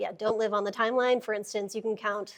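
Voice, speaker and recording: A woman's fairly high voice, monotone and flat in intonation, at a very fast pace over a quiet background. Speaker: software engineer, conference speaker. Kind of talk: technical talk to a live audience. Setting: meetup room with audience. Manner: casual, many fillers.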